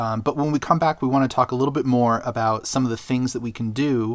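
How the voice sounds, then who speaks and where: In a very clean recording with a silent background, a man uses a normal speaking voice at a fairly quick pace with fairly even intonation. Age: 40s. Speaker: podcast host and tech editor. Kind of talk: casual chat. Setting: studio.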